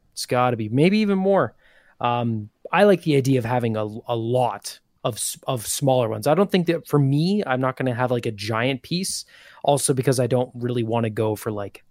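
A man with an ordinary speaking voice, medium pitch and lively intonation talks at a moderate pace in a dry, close sound with no echo. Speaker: show contributor. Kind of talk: casual chat.

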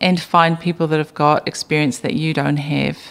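A woman speaks with a New Zealand accent at a fairly quick pace. Her pitch is very deep and low. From New Zealand, Bay of Plenty. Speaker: business founder. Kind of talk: interview.

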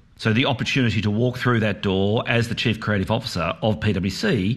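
Moderate pace and medium pitch from a man with an Australian accent. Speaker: breakfast radio host, former creative executive. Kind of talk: interview.

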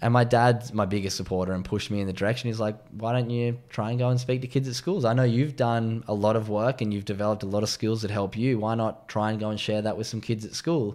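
A man with an Australian accent talks at a very fast pace. His medium-pitched voice keeps a fairly even intonation. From Australia, Sydney's northern beaches. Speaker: former pro surfer, mental health advocate. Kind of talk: casual interview chat.

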